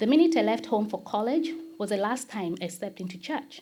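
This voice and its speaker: A woman with a Kenyan accent speaks at a moderate pace in a somewhat breathy, medium-pitched voice that swings very widely in pitch. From Kenya, Nairobi. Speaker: church member. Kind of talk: testimony.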